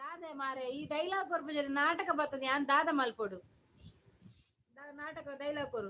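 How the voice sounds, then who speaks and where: Raised and projected, a woman's high, bright, sharp voice shows big swings in loudness. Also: ordinary pitch variation. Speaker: live streamer. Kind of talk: casual live-stream chat.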